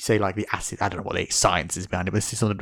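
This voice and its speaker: The recording is very clean, with a silent background. A man with an English accent speaks in an animated tone at a fairly low pitch. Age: young. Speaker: podcast host. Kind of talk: casual chat.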